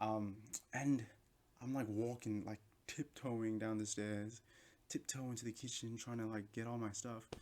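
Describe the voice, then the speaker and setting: In an Australian accent, a man talks at a medium pitch with monotone, flat intonation. His pace is fairly slow, with long, frequent pauses. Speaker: vlogger. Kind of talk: casual chat. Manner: loud.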